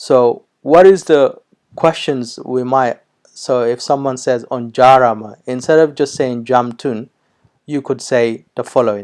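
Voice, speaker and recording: The speaker is a man with a medium pitch. He talks at a fairly slow pace with fairly even intonation. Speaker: language teacher. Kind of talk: tutorial. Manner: hesitant, many fillers.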